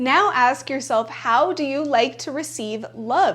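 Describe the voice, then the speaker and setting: Behind the voice there is noticeable background noise. Its intonation is lively. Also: woman. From bilingual Spanish-English upbringing. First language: Spanish. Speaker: self-help YouTuber. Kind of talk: casual vlog talk to camera. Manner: conversational with many filler likes.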